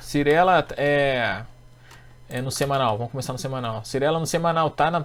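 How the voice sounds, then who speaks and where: A man's voice at a medium pitch. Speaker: economist and stock market trading teacher. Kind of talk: technical chart analysis tutorial. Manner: fast.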